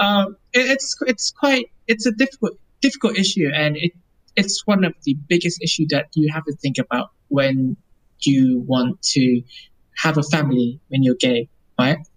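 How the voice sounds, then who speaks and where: This speaker talks at a moderate pace with a Vietnamese accent. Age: 20s. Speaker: lawyer. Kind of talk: casual interview.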